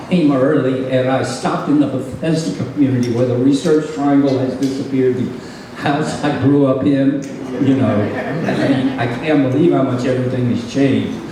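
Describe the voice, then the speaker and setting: Over noticeable background noise and audible room echo, a man talks at a moderate pace in a medium pitch with fairly even intonation. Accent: American. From US South. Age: 80s+. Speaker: retired opera singer. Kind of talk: speech.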